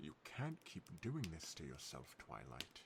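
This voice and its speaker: A put-on character voice from a man, very deep and low, at a fairly slow pace over clear background noise. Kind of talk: fancy, refined. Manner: haughty, sighing.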